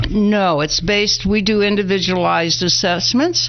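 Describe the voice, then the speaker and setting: Amid noticeable background noise and audible room echo, a woman speaks at a moderate pace with fairly even intonation. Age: 80s+. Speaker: addiction treatment founder. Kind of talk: interview.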